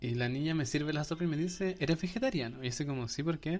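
In a normal speaking voice, a man talks fairly quickly, his pitch moving in an ordinary way. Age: 20s. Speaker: podcast host. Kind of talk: casual chat.

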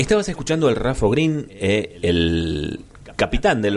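This man talks fairly slowly. His intonation rises and falls in a lively way. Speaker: radio host. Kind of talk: radio interview and music show. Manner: halting, many fillers.

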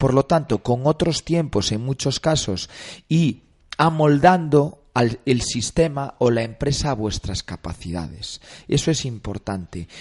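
Over a quiet background, a man speaks at a fairly slow pace with lively intonation, a medium pitch and a somewhat breathy voice, in a dry, close sound with no echo. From Galicia, Spain. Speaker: actor and film director. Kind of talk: radio interview. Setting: studio.

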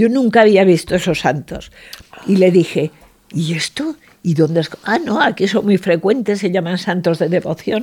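A somewhat breathy woman's voice at medium pitch, with lively intonation and a moderate pace. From Aragon, Spain (Zaragoza). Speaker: portrait painter. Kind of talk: interview. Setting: painter's studio.

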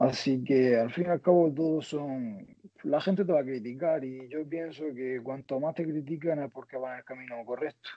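With an ordinary speaking voice, a man talks at a moderate pace, fairly high in pitch, with ordinary pitch variation. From Spain, Almería (Andalusia). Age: 20s. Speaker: interviewee sharing his dating experience. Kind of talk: casual interview.

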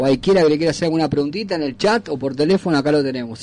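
A man talks at a very fast pace, his pitch fairly high and his intonation lively. Noticeable background noise runs beneath him. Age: 40s. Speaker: radio host. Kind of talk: casual radio chat.

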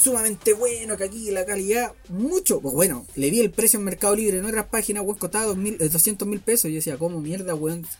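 Speaking fairly quickly in a Santiago Chilean accent, a man with a high pitch shows ordinary pitch variation. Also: hardly any pauses. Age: 20s. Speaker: solo podcaster. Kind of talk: casual monologue.

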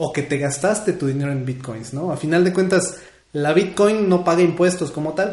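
A man speaks in a central Mexican accent with a somewhat breathy voice. Audible room echo surrounds the recording. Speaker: community radio host. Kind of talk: casual radio show chat. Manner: animated.

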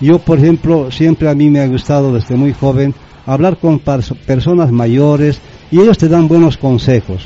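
With ordinary pitch variation, an unremarkable speaking voice moves at a fairly slow pace. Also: man, fairly high pitch for a man. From Bolivia, Yungas of La Paz (Chulumani). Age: 60s. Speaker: former football organiser. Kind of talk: radio interview. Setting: radio studio.

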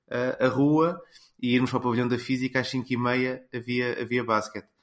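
This is a man with a normal speaking voice at a medium pitch. He talks at a moderate pace against a quiet background. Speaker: sports commentator. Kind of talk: casual chat.

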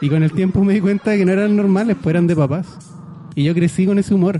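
A man with a Chilean accent talks at a very fast pace and a high pitch. His intonation is fairly even, with noticeable background noise behind him. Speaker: radio co-host. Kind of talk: casual chat. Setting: radio studio.

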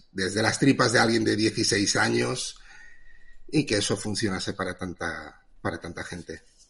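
A man speaks at a very slow pace. His tone is bright and sharp, with vocal fry. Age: 30s. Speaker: comic artist. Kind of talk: casual chat.

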